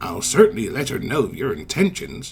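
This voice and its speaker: Doing a put-on character voice, a man talks at a fairly quick pace with a fairly high pitch. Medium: read story. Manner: polite, warm.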